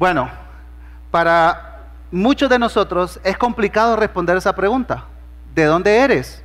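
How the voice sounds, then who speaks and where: The speech moves at a fairly slow pace, with long pauses coming often. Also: man. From Honduras. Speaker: pastor. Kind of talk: sermon.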